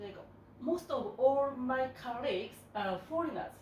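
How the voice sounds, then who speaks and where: The room echo is audible and the background noise is noticeable. A woman with a high pitch and ordinary pitch variation talks at a very slow pace. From Japan. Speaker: business owner. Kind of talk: interview. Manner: halting.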